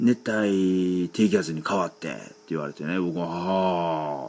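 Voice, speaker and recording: A man's very deep, low voice carries over noticeable background noise. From Kansai, Japan. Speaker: solo podcaster, hobby singer-songwriter. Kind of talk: casual solo monologue. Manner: halting, many fillers.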